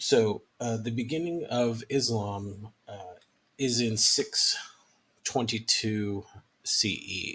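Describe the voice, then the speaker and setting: Speaking at a very slow pace, a man uses a medium pitch with ordinary pitch variation and big swings in loudness. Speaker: history professor. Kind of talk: lecture. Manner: hesitant, many fillers.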